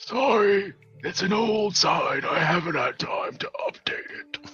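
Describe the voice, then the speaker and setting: Raspy and fairly slow, a man performs a put-on character voice. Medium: actual play. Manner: dry, measured.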